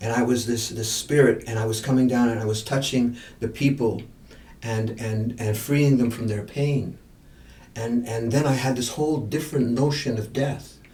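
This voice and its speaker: Audible room echo surrounds a voice at a moderate pace with fairly even intonation. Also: man, medium pitch for a man. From India. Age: 70s. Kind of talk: podcast interview. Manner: halting, with many repeated words; reflective.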